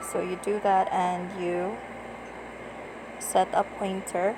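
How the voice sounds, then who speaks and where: A woman speaks quietly at a medium pitch. Her delivery is very slow and monotone, with flat intonation and noticeable background noise. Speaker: tutorial vlogger. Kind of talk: screen-recorded app tutorial. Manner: lowered, quiet voice.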